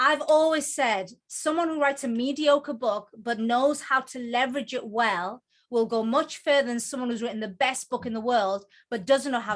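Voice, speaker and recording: The speaker has a Geordie accent, an animated tone and ordinary pitch variation. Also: woman. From northern England, Newcastle (Geordie). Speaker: book coach and author. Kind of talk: presentation. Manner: fast.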